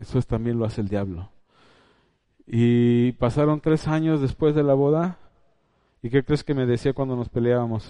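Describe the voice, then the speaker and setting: Speaking at a moderate pace with long, frequent pauses, a man uses a dark, mellow tone at medium pitch with ordinary pitch variation. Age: 50s. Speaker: preacher. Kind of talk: sermon.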